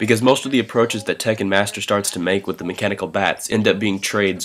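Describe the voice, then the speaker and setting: The speaker talks at a very fast pace with fairly even intonation. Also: man. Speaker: fighting game analyst. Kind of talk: gameplay commentary voice-over.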